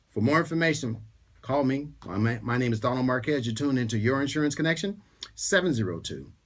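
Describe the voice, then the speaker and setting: At a fairly quick pace, a man with a fairly high voice talks with lively intonation. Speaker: radio host and insurance agent. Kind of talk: radio talk show. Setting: radio studio. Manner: fast.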